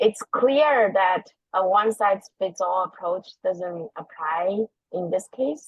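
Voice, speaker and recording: Very slowly and with lively intonation, a woman with a non-native accent speaks at a medium pitch. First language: not English. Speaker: parent giving public comment. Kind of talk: prepared public comment. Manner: formal.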